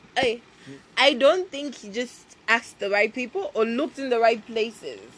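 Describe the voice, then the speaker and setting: The tone is animated and the intonation lively, delivered at a moderate pace over noticeable background noise. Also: woman. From Zambia, Copperbelt. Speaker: podcast co-host. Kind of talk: casual chat.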